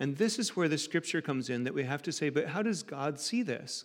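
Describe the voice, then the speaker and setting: A man with an American accent talks at a moderate pace in a fairly high pitch, an unremarkable speaking voice. The recording is very clean, with a silent background. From United States, rural farm background. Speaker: preacher. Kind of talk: sermon.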